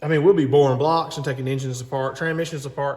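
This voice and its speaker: A man speaks with a Southern US accent. His pitch sits in the medium range. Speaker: mechanic. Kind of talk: tutorial; casual chat. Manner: rambling, talkative.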